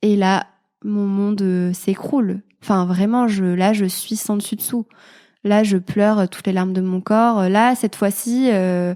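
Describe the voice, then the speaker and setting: On a very clean recording with a silent background, a woman speaks at a fairly slow pace with monotone, flat intonation. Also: medium pitch for a woman. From France, Clermont-Ferrand (Auvergne). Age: 20s. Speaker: mother sharing her motherhood story. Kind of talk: testimony interview. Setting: podcast interview. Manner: hesitant, many fillers.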